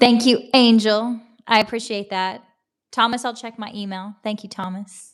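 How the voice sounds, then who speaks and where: A woman with a strong Southern American accent and a fairly high pitch, at a moderate pace, with monotone, flat intonation and big swings in loudness, on a very clean recording with a silent background. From US South. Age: 40s. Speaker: livestreamer. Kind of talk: casual chat. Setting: livestream from laptop.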